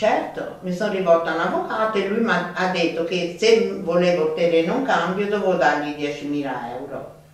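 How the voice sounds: With strong room echo, a woman speaks at a fairly quick pace, taking few pauses. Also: fairly low pitch for a woman, ordinary pitch variation.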